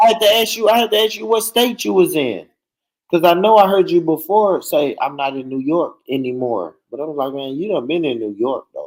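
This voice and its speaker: A high-pitched man with an American accent at a fairly quick pace, with very wide pitch swings and big swings in loudness. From US South, rural. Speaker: panelist. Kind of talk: casual chat.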